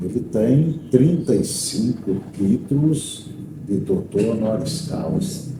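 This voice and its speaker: A man's medium-pitched voice with very wide pitch swings, a very slow pace, noticeable background noise and audible room echo. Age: 60s. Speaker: teacher and radio broadcaster. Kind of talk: interview.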